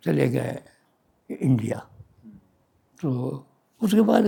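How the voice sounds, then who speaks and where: A man talks with lively intonation. His tone is dark and mellow, with vocal fry. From Dera Ghazi Khan, Pakistan. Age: 80s+. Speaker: retired physician. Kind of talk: oral history interview answer.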